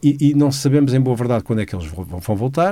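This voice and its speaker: With a medium pitch and lively intonation, a man talks in a dark, mellow tone. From Portugal, Lisbon. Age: 60s. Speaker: economist commentator. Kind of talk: economic analysis.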